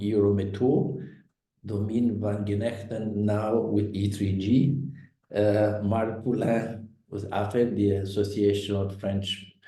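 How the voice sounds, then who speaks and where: A man's fairly low, somewhat breathy voice with a dark, mellow tone and audible room echo. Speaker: think tank director hosting a webinar. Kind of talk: webinar moderation. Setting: online webinar. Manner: halting, many fillers.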